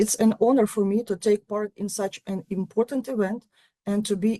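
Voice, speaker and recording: A woman talks at a medium pitch and a moderate pace, her intonation fairly even and her tone dark and mellow. The sound is dry and close, without any echo. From Ukraine. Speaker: university lecturer. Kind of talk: conference talk. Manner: formal.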